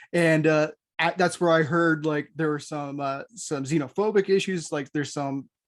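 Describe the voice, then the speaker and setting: A plain, everyday voice from a man, fairly high in pitch, with fairly even intonation and a moderate pace, on a very clean recording with a silent background. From United States. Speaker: podcast co-host. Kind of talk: casual chat.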